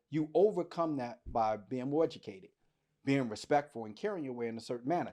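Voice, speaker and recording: On a very clean recording with a silent background, a man with an American accent uses a plain, everyday voice at medium pitch with lively intonation. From US, Washington DC. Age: 50s. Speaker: podcast host. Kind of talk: casual podcast discussion.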